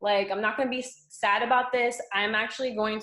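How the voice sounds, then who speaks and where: A woman with an American accent has an unremarkable speaking voice, ordinary pitch variation and a moderate pace. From South Florida. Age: 20s. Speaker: fitness coach. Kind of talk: casual chat.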